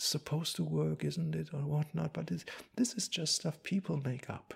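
A man speaks in a German accent. The recording is very clean, with a silent background. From Germany. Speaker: Buddhist monk. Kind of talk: dharma talk. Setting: monastery. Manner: halting.

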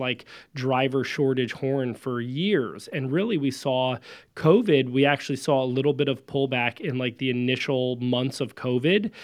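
This man has a plain, everyday voice, pitched in the medium range. He talks at a moderate pace with ordinary pitch variation. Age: 30s. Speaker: trucking company founder. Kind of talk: interview.

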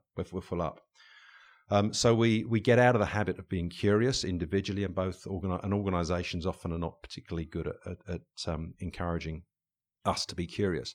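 Against a quiet background, a man with an English accent talks very fast at a very deep, low pitch with ordinary pitch variation. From England. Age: 50s. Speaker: leadership coach and author. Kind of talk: interview conversation. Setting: recording studio. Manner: hesitant, many fillers and repetitions.

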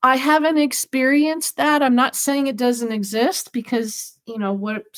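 A woman with a plain, everyday voice speaks at a fairly slow pace, her fairly high pitch moving in a lively intonation. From Southern California. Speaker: animal communicator and pet loss author. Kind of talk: interview.

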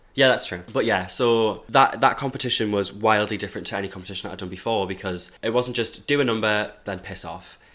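With a Geordie accent, a man talks at a very fast pace with hardly any pauses, using a bright, sharp tone, fairly low pitch, and fairly even intonation. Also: big swings in loudness. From northern England, Hebburn, South Tyneside. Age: 20s. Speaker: law student and drag performer. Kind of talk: casual chat. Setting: studio.

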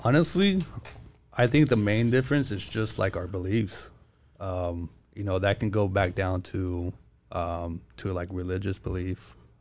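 A man with an American accent, fairly low pitch, ordinary pitch variation and a fairly slow pace, in a very clean recording with a silent background. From California, US. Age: 20s. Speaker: podcast guest telling his family story. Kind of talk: casual interview chat.

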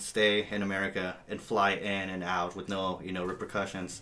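A man speaks in an ordinary speaking voice with a fairly low pitch. His intonation is fairly even and his pace moderate. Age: 20s. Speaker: metal guitarist. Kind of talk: casual chat. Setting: office.

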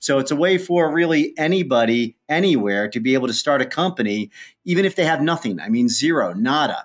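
A man with a Midwestern US accent talks at a fairly quick pace, his intonation lively. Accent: US Midwest. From Ohio, US Midwest. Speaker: entrepreneur, company founder. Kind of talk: interview.

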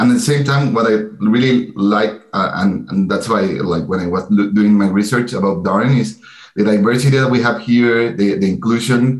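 A man's medium-pitched voice with a Spanish accent at a fairly quick pace. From Chile, Santiago. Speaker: MBA student. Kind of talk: interview.

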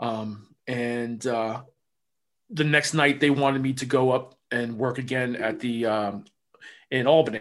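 A man speaks at a fairly slow pace with medium pitch. His intonation stays fairly even. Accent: New Jersey. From New Jersey. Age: 50s. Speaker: former pro wrestler. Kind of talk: casual interview.

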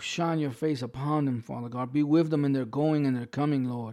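A man's fairly high, dark, mellow voice with an American accent, fairly even intonation and a fairly quick pace, on a very clean recording with a silent background. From New York. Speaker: pastor. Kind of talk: sermon. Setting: livestream from home. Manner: halting.

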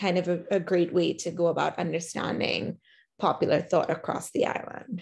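The woman's flat, monotone delivery sits fairly low and moves at a moderate speed. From Trinidad. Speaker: professor. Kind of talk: academic interview.

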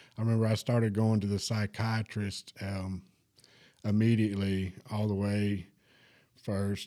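A dark, mellow tone in a Southern US accent, monotone and flat, at a moderate pace, on a very clean recording with a silent background. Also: man. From Alabama, US South (Huntsville). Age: 30s. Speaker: recovery center worker, former drug addict. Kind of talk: testimony. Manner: halting.

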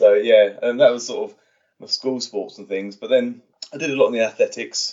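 A man speaks in a southern English accent. He goes at a fairly quick pace. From England, Watford (Hertfordshire). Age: 30s. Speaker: stunt performer. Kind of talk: interview. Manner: halting.

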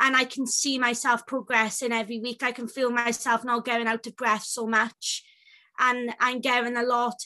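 Speaking with a Welsh accent, a woman has a high pitch and a bright, sharp tone. Her intonation is monotone and flat at a moderate pace, with a quiet background. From Wales. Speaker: self-advocacy group chair. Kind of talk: interview.

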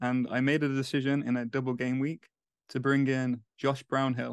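A man with an English accent at a medium pitch, monotone and flat in intonation, against a quiet background. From England. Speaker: fantasy football podcaster. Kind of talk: casual chat.

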